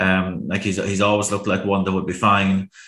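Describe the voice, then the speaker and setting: With a bright, sharp tone and fairly low pitch, a man speaks fairly quickly in a monotone, flat delivery. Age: 30s. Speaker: horse racing pundit. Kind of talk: casual chat.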